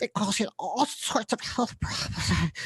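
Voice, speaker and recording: A female-sounding cartoonish character voice moves along at a moderate pace. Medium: puppet. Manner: rambling, hesitant, repetitive.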